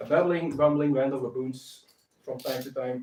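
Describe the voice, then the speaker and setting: This speaker talks with a non-native accent and fairly even intonation. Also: man. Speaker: craft maker, bookbinder. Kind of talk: live stream tutorial. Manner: halting, many filler sounds.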